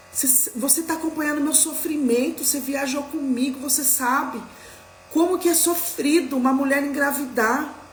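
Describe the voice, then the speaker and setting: A woman speaks at a high pitch and a moderate pace with fairly even intonation, over music in the background and with audible room echo. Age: 40s. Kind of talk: live religious talk. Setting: livestream.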